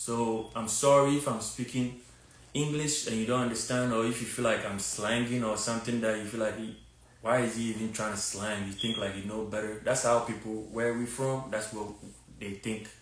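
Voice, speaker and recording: With a strong Ghanaian accent, a man talks at a moderate pace in a medium pitch and a monotone, flat intonation, with audible room echo and noticeable background noise. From Ghana, Takoradi. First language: a Ghanaian language. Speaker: fitness content creator. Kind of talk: live stream monologue. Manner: casual, repetitive with many fillers.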